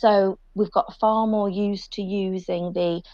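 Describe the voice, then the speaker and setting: A woman's medium-pitched voice in a British accent, with fairly even intonation over a quiet background. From UK. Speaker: sustainability panelist. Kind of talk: panel discussion.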